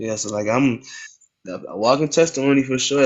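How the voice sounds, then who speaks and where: Here a man talks at a moderate pace. His pitch sits in the medium range. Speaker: musician and content creator. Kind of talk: casual chat.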